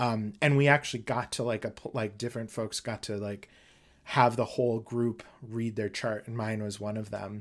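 Speaking in an ordinary speaking voice with an American accent, a man at medium pitch keeps a moderate pace and fairly even intonation in a very clean recording with a silent background. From Minnesota. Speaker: astrologer and educator. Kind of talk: interview.

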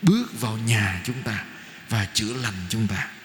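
Very slowly and with lively intonation, a man speaks over noticeable background noise. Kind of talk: sermon. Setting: church.

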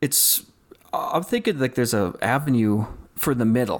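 He speaks with a Canadian accent at a moderate pace and medium pitch, with ordinary pitch variation. A man with a plain, everyday voice. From Saskatchewan, Canada. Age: 40s. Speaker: wildlife photographer. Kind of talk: casual chat.

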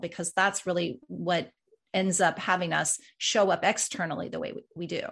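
A woman speaks in an ordinary speaking voice with an American accent, her pitch fairly low. She talks at a moderate pace against a quiet background. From Colorado. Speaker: executive leadership coach and author. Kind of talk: interview conversation.

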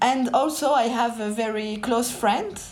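In a French accent, a woman speaks at a fairly slow pace with a fairly high pitch and fairly even intonation, with audible room echo around her. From France, Paris suburbs (Pantin). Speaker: novelist. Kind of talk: interview.

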